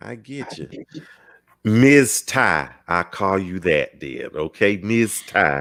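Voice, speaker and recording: A very slow, lively-intoned delivery with an Alabama accent and big swings in loudness. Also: man, fairly low pitch for a man. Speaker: talk show host. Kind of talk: casual chat.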